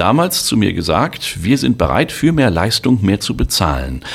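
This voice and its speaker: A man talks with vocal fry. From Germany, Sauerland (Westphalia). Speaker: travel company owner and former tour guide. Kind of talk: promotional monologue.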